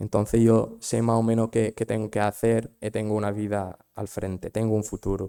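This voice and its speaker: A man's fairly low voice, dark and mellow, at a moderate pace in a dry, close sound with no echo on a very clean recording with a silent background. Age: 20s. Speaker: migrant volunteer. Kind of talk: personal testimony. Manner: halting.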